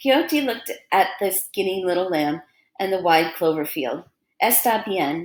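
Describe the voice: The background is quiet. This is plain reading aloud with lively intonation.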